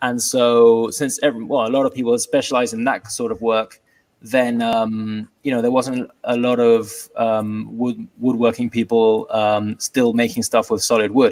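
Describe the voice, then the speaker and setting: The man's voice sits at a medium pitch with monotone, flat intonation. He keeps a moderate pace. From England, London. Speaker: furniture maker, woodworking business owner. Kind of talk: casual interview. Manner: hesitant, many fillers.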